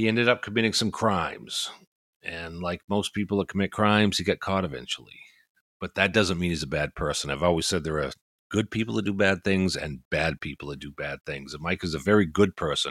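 A man's very deep, low voice with vocal fry and a slight New England accent, at a fairly quick pace with ordinary pitch variation, on a very clean recording with a silent background and a dry, close sound with no echo. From Maine, US. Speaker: retired police officer, podcast host. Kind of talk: casual chat, podcast intro.

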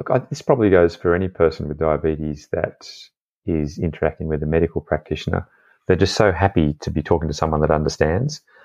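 An Australian accent comes through with ordinary pitch variation. The sound is dry and close, with no echo. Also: man, very deep, low pitch for a man. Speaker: doctor and former airline pilot. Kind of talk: interview. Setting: video call.

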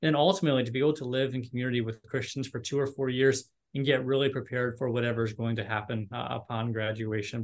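A man of medium pitch talks at a very fast pace. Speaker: university admissions director. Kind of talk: casual interview.

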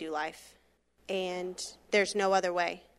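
An American accent at a moderate pace with fairly even intonation, very clean recording and silent background. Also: woman. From Florida, Brevard County. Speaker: missionary. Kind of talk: testimony.

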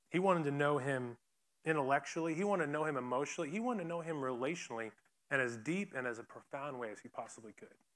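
A plain, everyday voice from a man, fairly high in pitch, fairly quick and lively in intonation, on a very clean recording with a silent background. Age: 30s. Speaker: campus ministry speaker. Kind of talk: sermon.

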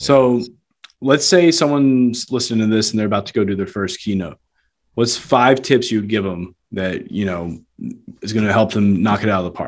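A man talks in an ordinary speaking voice at a moderate pace. His pitch is fairly low, with ordinary pitch variation. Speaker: podcast host. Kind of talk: casual interview chat.

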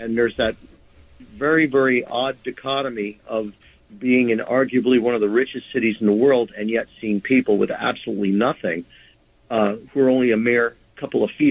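This man talks at a fairly quick pace in an American accent. His pitch sits at a medium level, with fairly even intonation. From Nyack, New York. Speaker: indie rock musician and charity concert organizer. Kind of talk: interview.

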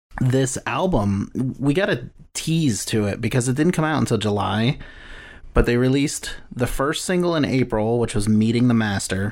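An unremarkable speaking voice from a man, medium in pitch, with lively intonation, very even loudness and a moderate pace, in a very clean recording with a silent background. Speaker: podcast co-host. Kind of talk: casual chat.

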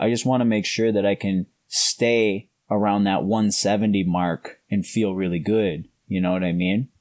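A man with a Canadian accent and an unremarkable speaking voice talks at a moderate pace and fairly low pitch, with fairly even intonation and very even loudness, in a dry, close sound with no echo. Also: very clean recording, silent background. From Canada. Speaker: grappling world champion. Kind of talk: casual interview.

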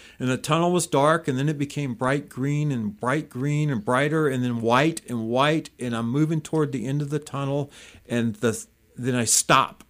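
In a very clean recording with a silent background, a man speaks at a moderate pace with a fairly high pitch and ordinary pitch variation. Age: 60s. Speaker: recovering alcoholic sharing faith testimony. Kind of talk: testimony. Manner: halting, many fillers.

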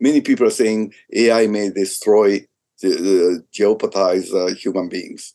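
At a fairly slow pace, a man talks with a Japanese accent. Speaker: business executive. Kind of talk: interview.

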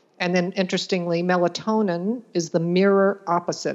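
With an unremarkable speaking voice, a woman talks at a moderate pace and a fairly low pitch. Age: 60s. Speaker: nutrition practitioner. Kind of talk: interview.

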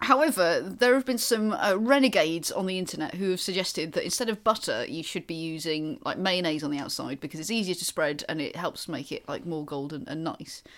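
Speaking at a fairly quick pace with hardly any pauses, this voice has lively intonation and a Welsh accent. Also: woman, medium pitch for a woman. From Wales. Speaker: comedian and gig promoter. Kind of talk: casual chat.

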